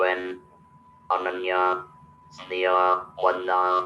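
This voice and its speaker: A man speaks in a very deep, low voice with a monotone, flat intonation. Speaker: motivational speaker. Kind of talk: webinar talk. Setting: video call.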